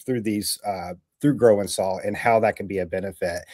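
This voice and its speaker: In a very clean recording with a silent background and a dry, close sound with no echo, a man with an American accent speaks at a moderate pace in a fairly low pitch. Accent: slight mountain twang. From Southwest Virginia. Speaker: real estate podcast host. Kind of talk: livestream interview.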